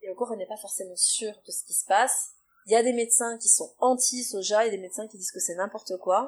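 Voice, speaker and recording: A woman speaks at a fairly quick pace with an unremarkable speaking voice, her pitch fairly high. Her intonation stays fairly even while her loudness swings widely. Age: 30s. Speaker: nutrition therapist and naturopath. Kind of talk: interview, explaining advice.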